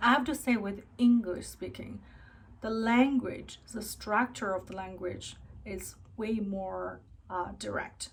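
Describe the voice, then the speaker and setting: A woman's somewhat breathy, fairly high voice with a Chinese accent, at a very slow pace, with ordinary pitch variation and big swings in loudness. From China, then Canada from youth. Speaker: vlogger. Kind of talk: personal vlog monologue. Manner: halting with fillers.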